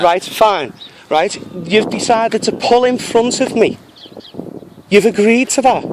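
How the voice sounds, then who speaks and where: A man speaks in an angry tone at a fairly slow pace, his voice high in pitch and his loudness very even. Long pauses come often, and noticeable background noise runs underneath. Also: ordinary pitch variation. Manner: angry, insistent.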